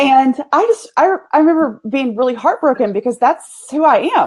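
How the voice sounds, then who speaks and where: High-pitched woman with a Texas accent, lively intonation and a moderate pace. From US South, East Texas. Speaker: business owner, PR agency. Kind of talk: casual interview chat.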